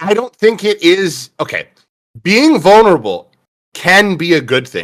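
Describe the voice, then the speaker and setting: A man speaks loudly at a fairly slow pace, his high voice swinging very widely in pitch. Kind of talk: casual chat. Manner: loud, expressive.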